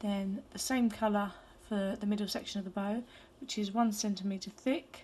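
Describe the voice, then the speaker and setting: Her medium-pitched voice carries a dark, mellow tone, somewhat breathy, with fairly even intonation at a moderate pace. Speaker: hairbow crafter. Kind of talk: craft tutorial.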